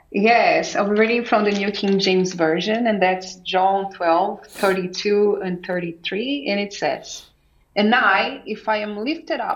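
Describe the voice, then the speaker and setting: Her pitch sits at a medium level and varies in an ordinary way as this woman speaks at a very slow pace with hardly any pauses. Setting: video call.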